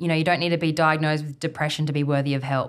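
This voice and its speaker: A woman speaks in a very deep, low voice with an Australian accent. Her intonation stays fairly even. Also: very clean recording, silent background. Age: 20s. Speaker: outdoor guide and business founder. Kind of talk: casual interview chat. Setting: evening recording.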